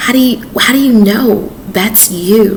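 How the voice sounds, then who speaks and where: Amid noticeable background noise and audible room echo, a woman speaks very slowly in a calm tone with a fairly high pitch and ordinary pitch variation. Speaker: author, chef and dating advice vlogger. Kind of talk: casual advice monologue to camera. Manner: calm, peaceful.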